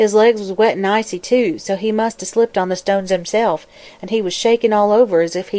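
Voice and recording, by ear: Here the speaker is reading aloud in a natural voice, the intonation fairly even.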